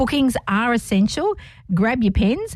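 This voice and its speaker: A woman is talking. Her voice is somewhat breathy. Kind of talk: radio dj patter. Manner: upbeat, cheerful, bantering; quick, friendly, teasing co-host.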